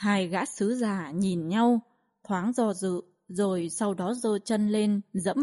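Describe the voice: Over a quiet background, someone gives a plain reading aloud.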